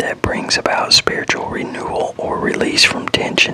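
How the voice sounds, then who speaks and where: A man is whispering against noticeable background noise. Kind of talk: ASMR whispered word definitions reading. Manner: whispered, soft.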